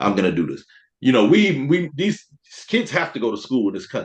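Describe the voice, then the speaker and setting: Speaking fairly quickly with a South Carolina accent, a man swings his pitch very widely. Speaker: teacher and veteran. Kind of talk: casual chat.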